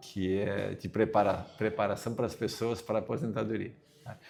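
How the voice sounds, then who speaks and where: Over music in the background, a man with a fairly low pitch talks at a fairly slow pace with fairly even intonation. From southern Brazil, Caxias do Sul. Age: 60s. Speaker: retiring university professor. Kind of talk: interview. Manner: halting.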